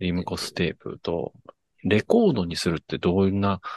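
A man's very deep, low voice, dry and close with no echo. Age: 30s. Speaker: podcast host, musician. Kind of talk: casual chat. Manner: animated.

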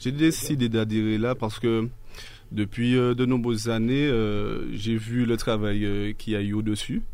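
There is audible room echo as a man speaks slowly-ish, at a fairly slow pace and medium pitch. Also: fairly even intonation. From Martinique. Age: 30s. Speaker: local political activist. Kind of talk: radio interview.

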